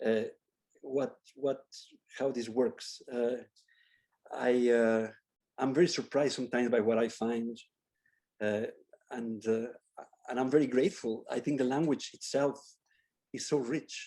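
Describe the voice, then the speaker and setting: Speaking with a Spanish accent and a dark, mellow tone, a man keeps a moderate pace broken by long, frequent pauses. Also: medium pitch for a man, fairly even intonation. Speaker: architecture professor. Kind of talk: Q&A after a lecture. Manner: halting, with many repetitions.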